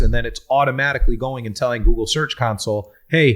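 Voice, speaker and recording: The recording is very clean, and the background is silent. The speaker is a man. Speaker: business consultant. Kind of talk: podcast Q&A discussion. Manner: fast.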